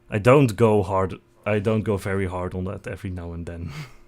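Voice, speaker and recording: Someone with a Dutch accent speaks at a moderate pace in a very clean recording with a silent background. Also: man. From Netherlands. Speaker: vtuber streamer. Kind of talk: casual live stream self-introduction.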